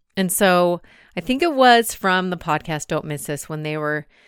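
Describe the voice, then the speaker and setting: A woman's medium-pitched voice, an ordinary speaking voice, with lively intonation at a fairly slow pace, in a very clean recording with a silent background. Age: 40s. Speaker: podcast host; mother and substitute teacher. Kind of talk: solo reflective monologue. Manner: casual, conversational.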